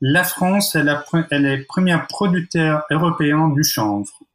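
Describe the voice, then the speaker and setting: A man speaks in an Italian accent at a fairly slow pace. His pitch is fairly high, with ordinary pitch variation. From Italy. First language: Italian (speaking French). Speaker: architect. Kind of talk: podcast interview. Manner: hesitant, many fillers.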